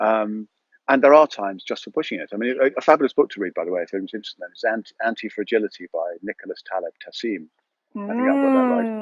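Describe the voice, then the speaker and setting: Talking at a very fast pace, a man with an English accent shows big swings in loudness. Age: 60s. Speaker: yoga and breathwork teacher. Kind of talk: casual interview. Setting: outdoors on allotment, live video. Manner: halting, repetitive.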